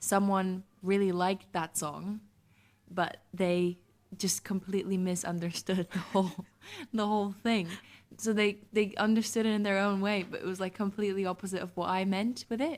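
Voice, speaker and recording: A woman with a non-native accent speaks at a moderate pace in a monotone, flat way. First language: not English. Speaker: singer-songwriter. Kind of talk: radio interview. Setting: radio studio.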